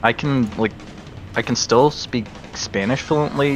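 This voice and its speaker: With music in the background, a man speaks at a fairly slow pace with ordinary pitch variation. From lived in Germany and Spain. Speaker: animator. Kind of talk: casual chat.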